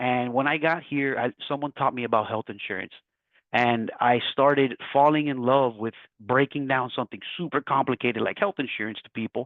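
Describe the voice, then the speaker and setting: A man with an American accent at a medium pitch and moderate pace, ordinary pitch variation and big swings in loudness. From Miami, Florida. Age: 30s. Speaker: entrepreneur, health insurance agent. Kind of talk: webinar talk. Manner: animated.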